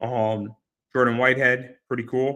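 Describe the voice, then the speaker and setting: At a fairly slow pace, a man talks with a medium pitch and a bright, sharp tone. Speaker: card collecting youtuber. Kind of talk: casual card-break commentary. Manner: repetitive, filler-heavy.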